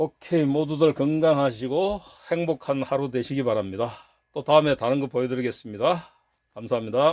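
Heard in a dry, close sound with no echo, a man with an unremarkable speaking voice talks at a fairly high pitch with ordinary pitch variation. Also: fairly quick pace, very clean recording, silent background. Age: 60s. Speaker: gun collector and YouTuber. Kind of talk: casual show-and-tell vlog.

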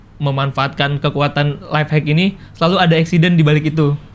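Fairly high in pitch, a man's voice races along at a very fast pace. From Jambi, Sumatra, Indonesia; Indonesia. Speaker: video content creator. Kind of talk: casual interview. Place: studio.

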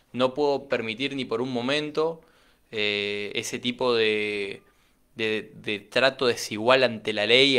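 Very slow speech with fairly even intonation over a quiet background. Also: man. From Argentina, Chaco. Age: 20s. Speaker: political candidate and entrepreneur; interviewee. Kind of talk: radio interview. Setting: radio studio. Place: studio. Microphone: studio mic.

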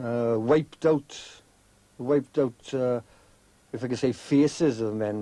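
A man speaks in a dark, mellow tone with fairly even intonation, and the sound is dry with no echo. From South Wales. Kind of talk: interview discussion. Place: tunnel cave. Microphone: old recording.

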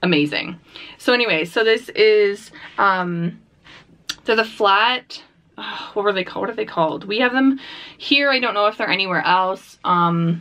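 A woman's speech with ordinary pitch variation and long, frequent pauses. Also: moderate pace. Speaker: mukbang host. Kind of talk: casual vlog chat. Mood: cheerful, upbeat. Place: home room.

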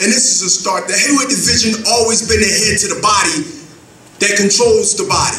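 A man with a high pitch and ordinary pitch variation uses a raised, projected voice over light background noise, with audible room echo. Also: fairly quick pace. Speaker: professional boxer. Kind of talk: press conference speech. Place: hall. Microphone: podium.

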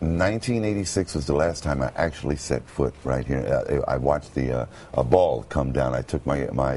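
With an American accent, a man speaks at a moderate pace in a very deep, low voice, using ordinary pitch variation and hardly any pauses. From Brooklyn, New York. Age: 50s. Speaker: former radio announcer. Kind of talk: TV interview answer. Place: studio.

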